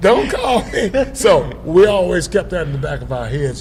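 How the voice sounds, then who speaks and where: In a room with audible echo and noticeable background noise, a man talks with a South Carolina accent. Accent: Southern US, South Carolina. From US South, Upstate South Carolina. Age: 70s. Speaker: blues musician. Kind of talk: interview. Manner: halting, many fillers.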